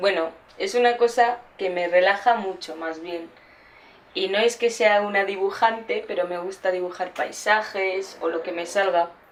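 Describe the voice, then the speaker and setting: With noticeable background noise behind her, a woman speaks at a fairly slow pace and medium pitch. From India (Gujarat), raised in Basque Country from 13. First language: Gujarati (speaking Spanish). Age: 20s. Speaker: documentary subject. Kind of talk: casual interview. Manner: hesitant.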